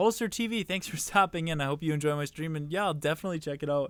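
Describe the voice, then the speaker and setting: With ordinary pitch variation, a man rushes along at a very fast pace. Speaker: gaming streamer. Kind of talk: casual live-stream commentary. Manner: rambling, hesitant with fillers.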